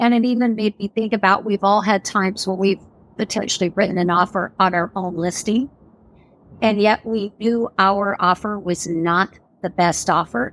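A woman with a plain, everyday voice and a medium pitch speaks at a moderate pace with fairly even intonation, in a dry, close sound with no echo. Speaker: real estate coach and former agent. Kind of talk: casual interview conversation.

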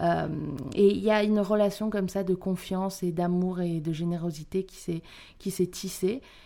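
A woman's dark, mellow voice, medium in pitch, at a moderate pace with fairly even intonation. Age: young. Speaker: actress and stage director. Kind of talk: interview.

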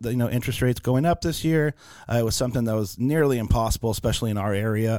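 Here a man speaks at a very fast pace in an American accent. His pitch variation is ordinary. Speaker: mortgage lender. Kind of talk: casual interview chat.

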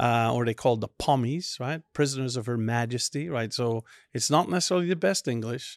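Speaking at a fairly quick pace, a man with a medium-pitched voice and ordinary pitch variation comes through in a very clean recording with a silent background and a dry, close sound with no echo. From Belgium, Antwerp. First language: Dutch (Flemish). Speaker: logistics industry executive. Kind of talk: casual chat. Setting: at a bar or event venue.

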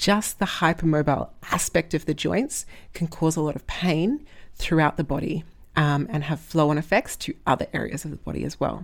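A woman with an Australian accent, fairly low in pitch, with lively intonation at a moderate pace, on a very clean recording with a silent background. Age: 20s. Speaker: strength coach and podcast host. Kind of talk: solo podcast monologue. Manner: hesitant, many fillers.

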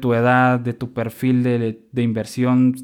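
A man talks at a fairly slow pace, his pitch medium. The recording is very clean, with a silent background. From Guatemala. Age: 20s. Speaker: podcast host. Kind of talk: solo podcast monologue.

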